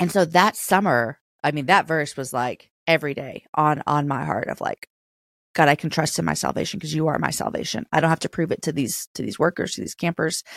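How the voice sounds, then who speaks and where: Using a very deep, low pitch with vocal fry and ordinary pitch variation, a woman talks at a fairly quick pace, the sound dry and close with no echo in a very clean recording with a silent background. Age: 40s. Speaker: author, speaker and podcast host. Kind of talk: casual faith interview.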